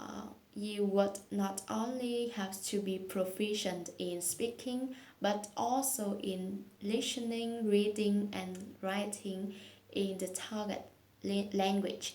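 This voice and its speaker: A woman at medium pitch with a Vietnamese accent, very slow and monotone with flat intonation, amid audible room echo and noticeable background noise. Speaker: English learner vlogger. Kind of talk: speaking practice monologue. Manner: hesitant, with fillers.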